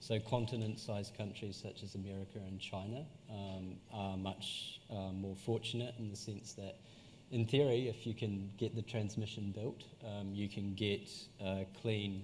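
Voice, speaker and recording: A man at a moderate pace in a British accent, somewhat breathy, fairly low in pitch and monotone with flat intonation. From UK. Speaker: energy expert. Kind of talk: panel discussion. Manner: halting, many fillers and repeats.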